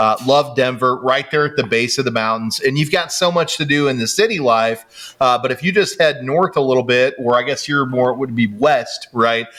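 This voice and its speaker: An enthusiastic, medium-pitched man with an American accent at a moderate pace, with ordinary pitch variation, hardly any pauses and noticeable background noise. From Kansas. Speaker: mortgage podcast host. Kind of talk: casual interview.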